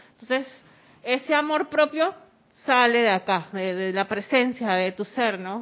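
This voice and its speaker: This voice moves at a fairly slow pace with lively intonation. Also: woman, fairly high pitch for a woman. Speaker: spiritual class participant. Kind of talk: group class discussion.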